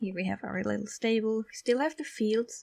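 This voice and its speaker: In a non-native accent, a woman speaks with a fairly high pitch and a relaxed, somewhat breathy tone, the sound dry and close with no echo. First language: not English. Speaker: gaming YouTuber. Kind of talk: gameplay commentary. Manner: casual, relaxed.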